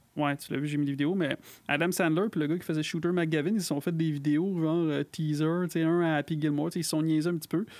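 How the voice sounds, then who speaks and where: In a Quebec accent, this speaker talks at a very fast pace on a very clean recording with a silent background. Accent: Québécois French. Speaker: podcast co-host. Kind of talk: casual chat.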